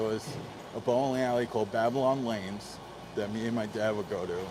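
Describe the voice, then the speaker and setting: This man speaks at a moderate pace with a medium pitch and fairly even intonation. Noticeable background noise runs underneath. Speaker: podcaster sharing weight-loss journey. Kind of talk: personal storytelling monologue.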